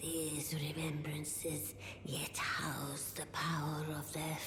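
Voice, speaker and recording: A put-on character voice whispers in a solemn tone at a very slow pace. Loud background noise and a slight echo sit behind it. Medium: video game. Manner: slow, solemn, cryptic.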